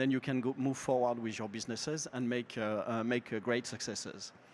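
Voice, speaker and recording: This man's voice sits at a medium pitch. His pace is moderate. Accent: French. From France. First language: French. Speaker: market researcher. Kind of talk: presentation. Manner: halting.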